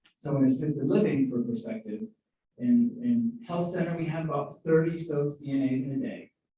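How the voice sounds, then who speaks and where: There is audible room echo around this man. His pitch swings very widely. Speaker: senior living community finance presenter. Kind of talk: budget presentation at town hall. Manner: fast.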